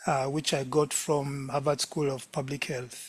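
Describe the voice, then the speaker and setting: A man talks with a Ugandan accent. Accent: non-Jamaican accent, Ugandan. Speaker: lecturer, medical doctor. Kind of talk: lecture.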